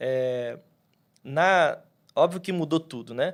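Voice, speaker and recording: Pitch variation is ordinary in this very clean recording with a silent background. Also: man. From Rio de Janeiro, Brazil, with Minas Gerais family. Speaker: pastor. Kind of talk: podcast interview. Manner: casual, halting with fillers.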